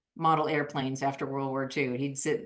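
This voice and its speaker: A woman with a US Midwestern accent talks at a fairly quick pace. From US Midwest, Iowa. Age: 60s. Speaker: artist. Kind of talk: interview.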